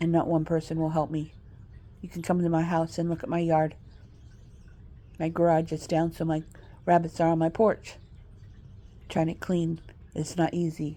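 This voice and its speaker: A woman speaks in an American accent at a fairly low pitch, dark and mellow in tone. Her moderate pace is broken by long, frequent pauses, and her intonation is monotone and flat. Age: 60s. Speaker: vlogger. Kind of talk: monologue. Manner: rambling, halting.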